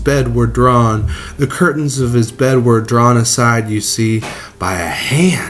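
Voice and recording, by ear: Someone is reading aloud in a natural voice.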